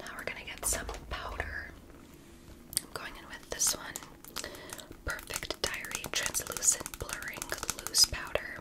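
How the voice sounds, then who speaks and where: Over noticeable background noise, a woman talks in a whisper at a fairly slow pace. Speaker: ASMR creator. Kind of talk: ASMR makeup tutorial talk to camera. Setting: close-up sensitive microphone recording. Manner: soft-spoken, whispery, soothing.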